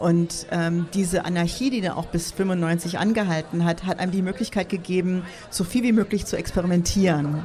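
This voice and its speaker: A woman speaks with an English accent at a fairly low pitch. Noticeable background noise is present. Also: fairly even intonation, moderate pace. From United States. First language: English (speaking German). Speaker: artist and techno scene co-founder. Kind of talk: casual interview. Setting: outdoor beer garden at a festival with audience.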